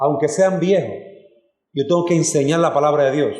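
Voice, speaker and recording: Somewhat breathy and fairly high in pitch, a man speaks at a moderate pace with audible room echo. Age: 40s. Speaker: pastor. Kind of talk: sermon. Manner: animated.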